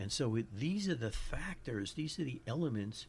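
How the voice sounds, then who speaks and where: A man talks with a New York accent. His voice is somewhat breathy. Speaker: psychologist podcast host. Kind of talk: educational podcast monologue. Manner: halting, with frequent restarts.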